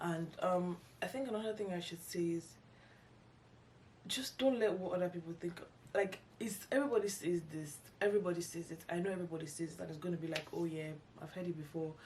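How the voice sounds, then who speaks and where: A woman talks at a very fast pace in a fairly low, somewhat breathy voice with ordinary pitch variation. She leaves long, frequent pauses. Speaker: YouTuber, lifestyle vlogger. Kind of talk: casual vlog monologue. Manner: halting, many false starts and fillers.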